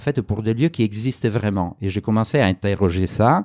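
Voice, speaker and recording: With an Italian accent, a man speaks at a moderate pace and a fairly low pitch, his tone dark and mellow, his pitch variation ordinary, in a dry, close sound with no echo on a very clean recording with a silent background. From Italy. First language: Italian (speaking French). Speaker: anthropologist author. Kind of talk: public talk interview. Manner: halting, many hesitations.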